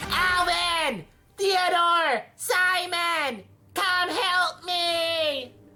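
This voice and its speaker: A put-on character voice is squeaky and extremely high in pitch. It moves at a very slow pace. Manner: panicked, calling for help.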